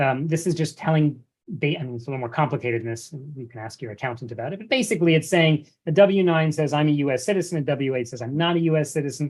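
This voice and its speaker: A man with an American accent talks at a very fast pace in a fairly high, somewhat breathy voice. His loudness swings widely from moment to moment. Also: ordinary pitch variation. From United States. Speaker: investment advisor. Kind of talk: webinar presentation. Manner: repetitive, many false starts.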